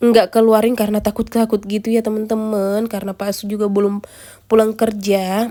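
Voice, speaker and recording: Her tone dark and mellow, a woman speaks at a moderate pace in a fairly high pitch. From rural Indonesia. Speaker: vlogger, stay-at-home mother. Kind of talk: vlog voice-over. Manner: casual, chatty; stumbling over words.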